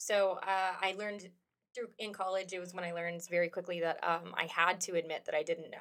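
At a fairly quick pace, a woman with an American accent speaks in a medium pitch with monotone, flat intonation. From United States. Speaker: roller derby player. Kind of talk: casual chat.

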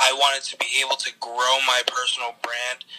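A man speaks with an American accent at a moderate pace. Noticeable background noise is present. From New Jersey, Bergen County. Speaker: social media influencer. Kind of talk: casual interview.

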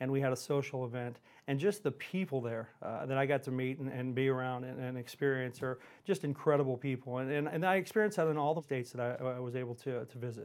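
Delivered at a very fast pace with ordinary pitch variation, the speech comes in an American accent. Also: man, medium pitch for a man. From Houston, Texas. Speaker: regional vice president at a payments company. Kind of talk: casual interview chat.

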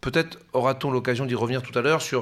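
Fairly quick speech from a man at medium pitch, in a very clean recording with a silent background. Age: 40s. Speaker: professor. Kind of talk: interview. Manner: halting.

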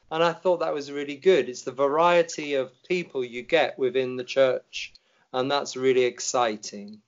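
With an English accent, a man speaks at a fairly high pitch and moderate pace with ordinary pitch variation. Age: 60s. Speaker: Anglican vicar. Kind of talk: personal testimony in interview.

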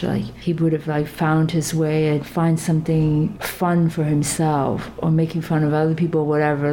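There is noticeable background noise behind this woman. Her pitch is fairly low, and she talks at a moderate pace. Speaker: sculptor and artist. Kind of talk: casual interview chat.

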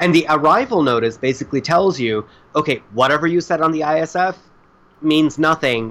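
A man talks in an American accent with a bright, sharp tone. His intonation is lively and his pace moderate. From South Florida, Indian family. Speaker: shipping and logistics worker. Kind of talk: casual interview.

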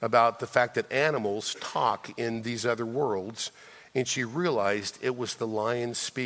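Plain reading aloud comes through with fairly even intonation.

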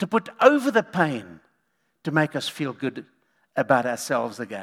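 The speech moves at a moderate pace. It is a very clean recording with a silent background. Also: man. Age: 60s. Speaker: pastor. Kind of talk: sermon.

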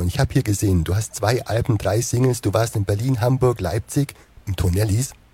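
Somewhat breathy and dark, mellow in tone, a man talks at a fairly quick pace. His pitch variation is ordinary. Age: 40s. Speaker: web show host. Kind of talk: interview.

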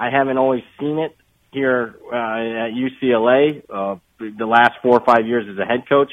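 An ordinary speaking voice, a man at medium pitch, fairly even intonation and a fairly slow pace. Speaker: sports analyst. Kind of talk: casual chat.

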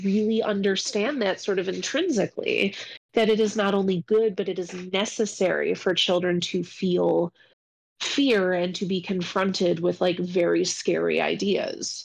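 A woman with an unremarkable speaking voice of medium pitch talks at a moderate pace with fairly even intonation and very even loudness. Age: 30s. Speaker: librarian and podcast co-host. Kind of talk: casual chat.

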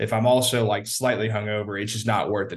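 A man speaks at a fairly quick pace in a medium pitch, his voice somewhat breathy and his intonation flat and monotone. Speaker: football correspondent, former college recruiting staffer. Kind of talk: casual chat.

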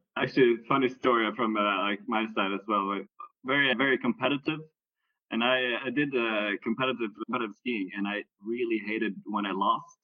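Talking at a fairly quick pace, a man with an unremarkable speaking voice keeps his intonation fairly even. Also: medium pitch for a man. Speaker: podcast host. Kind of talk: casual interview.

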